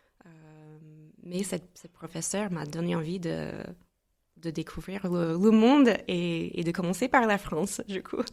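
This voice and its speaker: A woman with an American accent talks at a fairly slow pace, with long, frequent pauses. Her pitch is fairly low with ordinary variation, and her loudness swings widely. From US Midwest, St. Louis, Missouri. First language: English (speaking French). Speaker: entrepreneur. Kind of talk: podcast interview.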